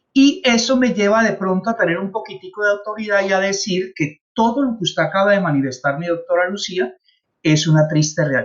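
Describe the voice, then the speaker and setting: The intonation is lively. Words come at a fairly quick pace. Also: man, high pitch for a man. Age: 60s. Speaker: traffic safety trainer, former traffic officer. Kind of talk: consultation meeting.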